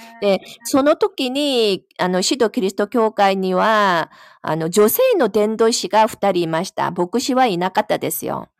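A woman's medium-pitched voice in a Korean accent, lively in intonation and fairly slow, on a very clean recording with a silent background. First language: Korean (speaking Japanese). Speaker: Bible study participant. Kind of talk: casual chat.

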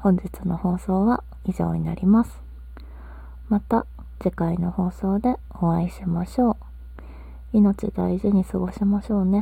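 This woman talks at a fairly slow pace and leaves long, frequent pauses. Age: 30s. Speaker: podcaster. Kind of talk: casual monologue. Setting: recording from bed under a futon. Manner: meandering with many fillers.

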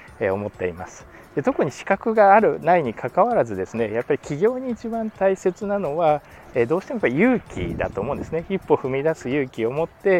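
Talking at a fairly quick pace in a fairly high pitch, a man swings widely in both pitch and loudness, his dry, close sound carrying no echo but noticeable background noise. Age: 30s. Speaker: tax accountant and podcaster. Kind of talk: solo podcast monologue. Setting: recorded at home. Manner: frequent fillers, polite formal speech.

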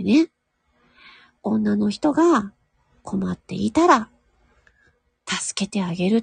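A woman at a very slow pace with long, frequent pauses, dry and close with no echo, against a quiet background. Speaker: voice actor and audio streamer. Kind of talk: casual solo talk. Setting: at home in a room. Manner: quiet, low volume.

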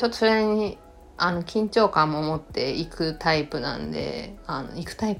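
This woman speaks at a fairly low pitch with ordinary pitch variation. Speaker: podcast host. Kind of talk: solo podcast talk. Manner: languid.

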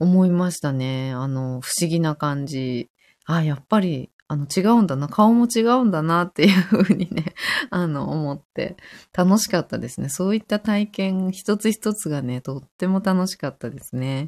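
An unremarkable speaking voice moves at a moderate pace with lively intonation, recorded dry and close with no echo. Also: woman, fairly low pitch for a woman, very clean recording, silent background. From Tokyo. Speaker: yoga teacher. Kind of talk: casual chat; guided meditation. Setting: live stream.

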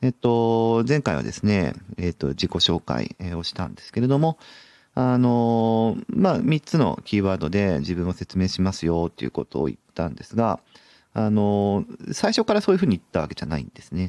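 With very wide pitch swings, a fairly low-pitched man speaks in a dry, close sound with no echo. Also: moderate pace. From Hokkaido, Sapporo. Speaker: youth worker. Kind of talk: solo podcast monologue. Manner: many fillers and hesitations.

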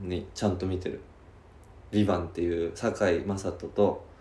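With audible room echo, a man speaks at a moderate pace in a somewhat breathy voice with a dark, mellow tone. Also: big swings in loudness. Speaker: podcast co-host. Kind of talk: casual chat. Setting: rented studio space in Shibuya.

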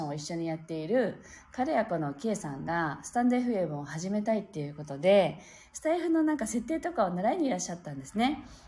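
Her pitch swinging very widely, a woman talks in a somewhat breathy voice. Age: 40s. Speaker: pianist and live-stream host. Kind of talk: casual live-stream chat. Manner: relaxed, gentle.

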